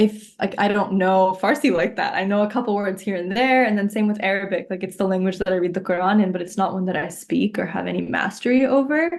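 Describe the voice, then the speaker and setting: A woman speaks with a Pakistani accent at a fairly quick pace. Her pitch is medium, with ordinary pitch variation. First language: Urdu. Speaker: poet. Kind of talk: interview. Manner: casual, filler-heavy.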